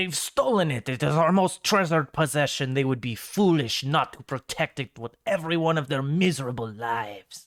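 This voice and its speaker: A man in a put-on character voice, fairly high in pitch, at a moderate pace with hardly any pauses. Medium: actual play. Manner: scornful, condescending.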